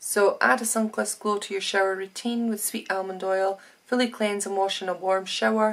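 This woman talks at a fairly quick pace. Her intonation stays fairly even. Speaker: beauty box vlogger. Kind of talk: casual vlog chat. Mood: cheerful, laughing. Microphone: phone near.

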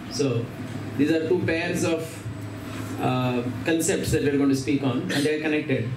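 A man speaks at a moderate pace with fairly even intonation. Noticeable background noise sits behind him. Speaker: speaker. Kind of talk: scripture reading and lecture. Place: home room.

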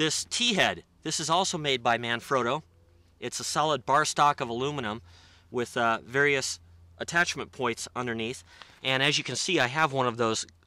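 A man speaks with a bright, sharp tone. The sound is dry, with no echo. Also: ordinary pitch variation, moderate pace. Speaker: gear reviewer. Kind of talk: tutorial. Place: open country. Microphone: phone near.

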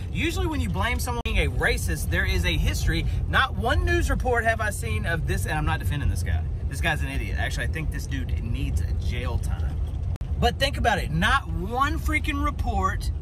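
A man talking at a fairly quick pace, with music in the background. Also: dry sound with no echo. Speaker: vlogger. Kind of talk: casual vlog opinion rant. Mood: exasperated, argumentative. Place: car. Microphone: phone near.

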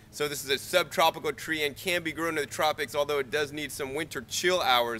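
This man talks at a fairly quick pace, his tone bright and sharp and his intonation fairly even. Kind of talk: tutorial. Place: garden.

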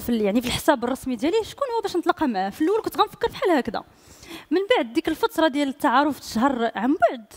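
A woman speaks at a very fast pace against a quiet background. Her high pitch swings very widely. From Morocco. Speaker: singer; guest. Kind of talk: casual chat. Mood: warm, storytelling. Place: studio. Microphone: headset.

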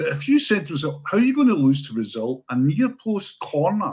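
With a Scottish accent, a man speaks in a somewhat breathy voice with very wide pitch swings over a quiet background. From Scotland. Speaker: sports writer. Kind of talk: casual chat. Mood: wry, rueful.

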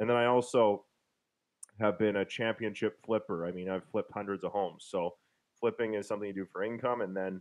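A man with a Canadian Prairies accent speaks at a fairly quick pace. His pitch is fairly low and his intonation fairly even. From Winnipeg, Manitoba, Canada. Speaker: real estate investor and author; interview guest. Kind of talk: interview over video call. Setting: online call. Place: home room. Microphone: studio mic.

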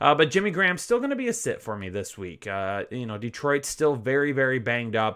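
An energetic man talks at a fairly quick pace with lively intonation and a bright, sharp tone against a quiet background. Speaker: fantasy football analyst. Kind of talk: solo sports rankings video. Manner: energetic, casual.

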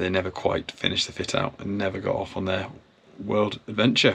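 Fairly quick delivery in a flat, monotone intonation. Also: man. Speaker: boat owner vlogger. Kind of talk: casual vlog chat. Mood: reflective, a bit emotional. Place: boat. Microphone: phone near.

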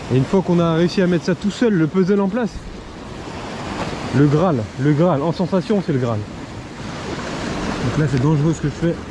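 Over noticeable background noise but with a dry, echo-free sound, a man speaks fairly slowly with lively intonation and long, frequent pauses. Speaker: shore angler vlogger. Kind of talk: casual vlog chat. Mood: passionate, reflective. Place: beach. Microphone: phone near.

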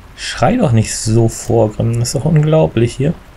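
Hoarse and with vocal fry, a man's dark, mellow voice sits at a medium pitch, moving at a moderate pace with ordinary pitch variation over faint background noise.

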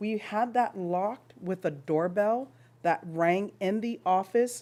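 A woman speaks at a medium pitch and a fairly slow pace, in a dark, mellow tone with ordinary pitch variation. The recording is very clean, with a silent background. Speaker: parent speaking at public comment. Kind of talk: public comment at school board meeting.

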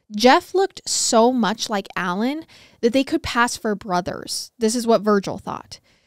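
In a serious tone, a woman with a fairly high pitch and ordinary pitch variation speaks at a moderate pace, the sound dry with no echo and the background quiet. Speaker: true crime podcast host. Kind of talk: true-crime narration, read aloud from case notes in a steady storytelling voice. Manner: serious, even-paced, measured storytelling. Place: studio. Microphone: studio mic.

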